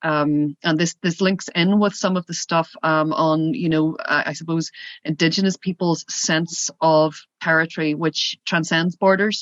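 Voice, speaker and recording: With a Northern Irish accent, a woman with a fairly low pitch talks at a moderate pace in a flat monotone. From Northern Ireland, Derry. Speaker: border policy association representative. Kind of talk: workshop Q&A comment. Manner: hesitant, many fillers.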